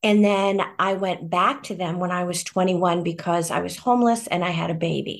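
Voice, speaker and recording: Hardly pausing, a woman with an American accent speaks at a moderate pace in an unremarkable speaking voice at a medium pitch. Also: fairly even intonation. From US Midwest. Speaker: adoptee sharing experience. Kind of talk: casual group discussion. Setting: video call.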